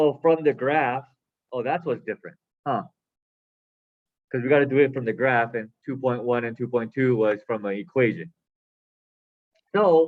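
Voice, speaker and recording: At a moderate pace, a man is talking. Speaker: math teacher. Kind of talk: lecture. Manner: loud.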